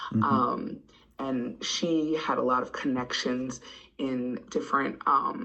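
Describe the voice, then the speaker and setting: A very slow, very deep, low-pitched woman's voice with an American accent. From Midwest USA (Wisconsin). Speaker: poet, first poet laureate of Green Bay. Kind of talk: podcast interview answer.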